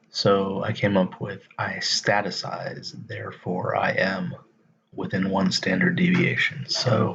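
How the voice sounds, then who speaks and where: Very slowly, a man speaks quietly. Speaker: stock market video creator. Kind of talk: casual live stream tutorial. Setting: late night live stream. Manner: speaking quietly.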